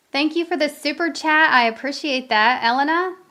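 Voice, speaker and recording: This woman's raised, projected voice sits at a high pitch, with ordinary pitch variation. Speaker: tarot reader. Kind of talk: live-streamed tarot reading. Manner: casual, conversational.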